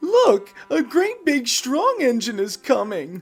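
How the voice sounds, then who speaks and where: Putting on a character voice, a man speaks in an extremely high pitch at a fairly slow pace. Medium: read story.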